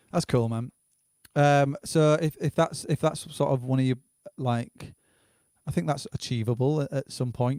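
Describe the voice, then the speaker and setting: A man with a medium pitch and a dark, mellow tone speaks at a moderate pace with ordinary pitch variation, in a dry, close sound with no echo. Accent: northern English. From northern England. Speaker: livestream host. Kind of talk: casual interview.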